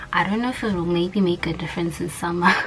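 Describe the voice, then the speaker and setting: A soft-spoken voice at a moderate pace, with audible room echo and noticeable background noise. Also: woman. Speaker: vlogger, student abroad. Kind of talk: casual vlog tutorial. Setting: small room at home, neighbors nearby.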